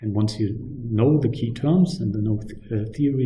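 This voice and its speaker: The voice is somewhat breathy, with a dark, mellow tone. Its pitch varies in an ordinary way, and the room echo is audible. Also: man. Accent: non-native. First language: not English. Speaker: university lecturer. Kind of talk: lecture. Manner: hesitant, many fillers.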